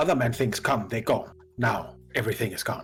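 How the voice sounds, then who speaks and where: A man's put-on character voice at medium pitch, delivered at a fairly quick pace. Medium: actual play. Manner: broken simple speech, repeats words.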